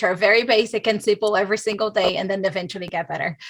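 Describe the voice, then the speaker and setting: A woman speaks with a non-native accent at a fairly high pitch. Her tone is bright and sharp. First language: not English. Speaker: illustrator. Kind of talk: panel discussion. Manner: halting.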